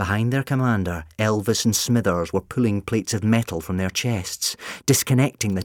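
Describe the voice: The text is read aloud plainly. Pitch shifts in an ordinary way.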